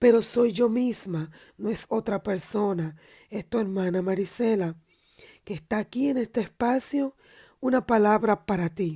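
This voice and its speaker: Her tone dark and mellow, a woman speaks fairly slowly at a medium pitch with ordinary pitch variation, in a dry, close sound with no echo. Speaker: preacher. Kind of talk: sermon.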